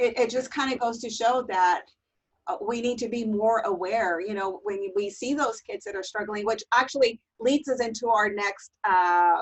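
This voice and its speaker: Lively intonation marks this woman's speech. Her pitch is fairly high, and her pace is moderate. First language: Spanish. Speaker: teacher trainer. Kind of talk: webinar presentation.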